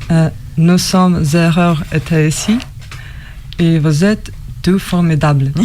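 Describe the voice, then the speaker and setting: Over noticeable background noise, a woman with a fairly low pitch talks at a very slow pace, her loudness very even and her speech broken by long, frequent pauses. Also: fairly even intonation. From Russia. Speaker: musician. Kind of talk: prepared speech read aloud. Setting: radio broadcast at a festival. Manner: halting.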